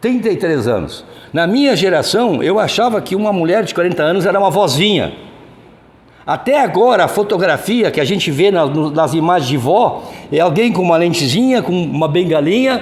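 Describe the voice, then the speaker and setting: A high-pitched male voice at a moderate pace with lively intonation, plus audible room echo and noticeable background noise. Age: 70s. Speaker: spiritist lecturer. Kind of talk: lecture. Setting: hall with audience, no microphone. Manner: loud, projecting to the room. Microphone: no microphone, room sound.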